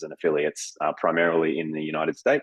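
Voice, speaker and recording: Speaking here is a man with an Australian accent. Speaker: business development director at a dental education company. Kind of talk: interview.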